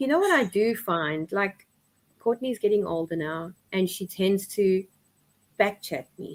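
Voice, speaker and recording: A woman at medium pitch with lively intonation, a fairly slow pace, and long, frequent pauses. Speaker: single mother guest. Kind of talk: casual chat. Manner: loud and outgoing.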